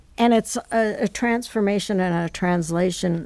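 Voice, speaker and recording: A woman speaks with an American accent in a normal speaking voice at medium pitch. Her pace is fairly slow and her intonation fairly even. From New York City. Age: 60s. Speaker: artist and magazine co-editor. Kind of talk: interview, reflective conversation.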